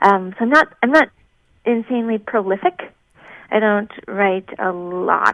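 In a dry, close recording with no echo, a woman with an American accent and an unremarkable speaking voice talks at a moderate pace, her medium pitch showing ordinary variation. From Minnesota. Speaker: singer-songwriter. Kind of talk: interview.

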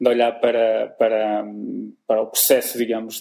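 A man at a moderate pace with a European Portuguese accent. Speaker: sales podcast host. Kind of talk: interview. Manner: halting.

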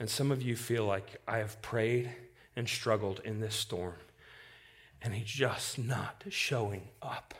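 At a very slow pace, a man with a medium-pitched, somewhat breathy voice talks with fairly even intonation. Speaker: preacher. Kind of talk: sermon. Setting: church.

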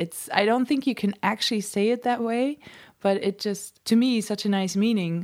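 With a Dutch accent, a woman speaks at a fairly high pitch. Her pace is moderate and her pitch variation ordinary. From Netherlands. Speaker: musician. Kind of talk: interview. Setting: home studio.

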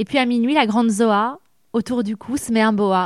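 With a plain, everyday voice, a woman speaks at a moderate pace and fairly high pitch in a dry, close sound with no echo. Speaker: radio interviewer. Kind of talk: interview.

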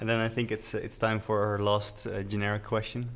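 At a moderate pace, a man speaks with a Dutch accent and a fairly low pitch. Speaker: podcast host, structural engineer. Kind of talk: interview.

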